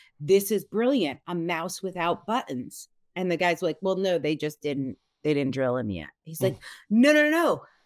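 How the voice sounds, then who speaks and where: A woman with an American accent speaks at a fairly low pitch with very wide pitch swings. The recording is very clean, with a silent background. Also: moderate pace. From US Northeast. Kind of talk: casual interview chat.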